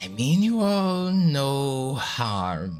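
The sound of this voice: This put-on character voice leaps through very wide pitch swings. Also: man.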